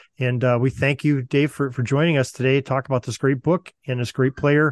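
With an American accent, a man of medium pitch speaks at a fairly quick pace in a plain, everyday voice with fairly even intonation. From Western Pennsylvania. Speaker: sports history podcast host. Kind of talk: interview.

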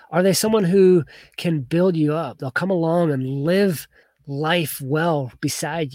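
A man's fairly high pitch with ordinary pitch variation at a moderate pace, a plain, everyday voice, on a very clean recording with a silent background and a dry, close sound with no echo. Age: 30s. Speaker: youth coach and podcast host. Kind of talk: motivational talk. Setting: livestream with camera and notes.

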